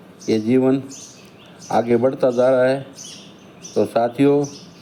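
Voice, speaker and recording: A man's medium-pitched voice carries a monotone, flat intonation while noticeable background noise continues. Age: 60s. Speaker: elderly vlogger telling his life story. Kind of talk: autobiographical monologue.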